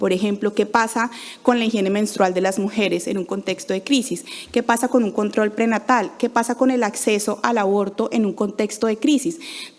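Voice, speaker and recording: Here a woman speaks at a fairly high pitch. Her pitch variation is ordinary. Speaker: NGO program manager. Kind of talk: conference talk. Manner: fast.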